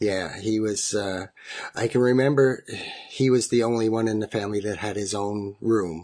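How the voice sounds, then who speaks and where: With a Canadian accent and a normal speaking voice, a man speaks at a moderate pace, his fairly low pitch held in fairly even intonation. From Ontario. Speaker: family member of conversion therapy survivor. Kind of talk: recorded interview, personal story.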